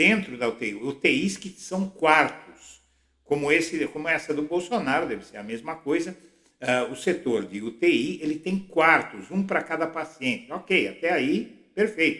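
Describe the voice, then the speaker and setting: With a fairly high pitch and a bright, sharp tone, a man speaks at a fairly slow pace with lively intonation and vocal fry. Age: 60s. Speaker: political blogger. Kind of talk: political commentary monologue.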